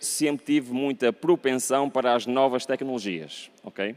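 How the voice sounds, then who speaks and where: A man with a European Portuguese accent. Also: dry, close sound with no echo. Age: 40s. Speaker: pastor. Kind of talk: sermon. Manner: conversational, frequent 'ok?' tag questions.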